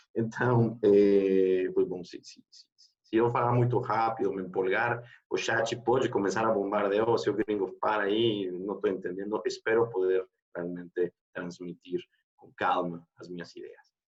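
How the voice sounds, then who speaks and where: Fairly low in pitch, a man with a Mexican accent talks at a fairly slow pace with fairly even intonation and big swings in loudness. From Mexico. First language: Spanish (speaking Portuguese). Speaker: HR executive. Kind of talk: panel talk. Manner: mixes Spanish and Portuguese.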